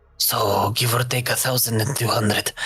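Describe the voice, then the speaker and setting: In a put-on character voice, a man speaks at a moderate pace with a medium pitch and a monotone, flat intonation. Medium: actual play. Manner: hesitant, stammering, calls people mateys.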